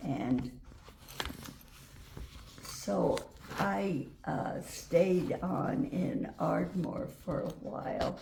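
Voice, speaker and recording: Speaking in an American accent, a woman talks at a very slow pace with long, frequent pauses. Noticeable background noise sits behind her. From Wyoming, USA. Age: 80s+. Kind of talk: interview answer. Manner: slow, hesitant.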